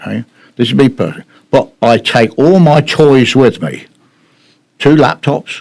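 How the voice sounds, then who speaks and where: A man's voice with vocal fry, lively intonation, and long, frequent pauses. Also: medium pitch for a man, moderate pace. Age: 70s. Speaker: town councillor. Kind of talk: heated debate. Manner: loud; halting.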